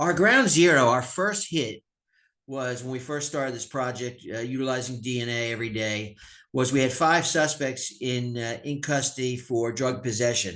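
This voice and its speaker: A man talks in a bright, sharp tone. The background is quiet. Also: medium pitch for a man, ordinary pitch variation. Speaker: sheriff / police official. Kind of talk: webinar presentation. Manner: fast.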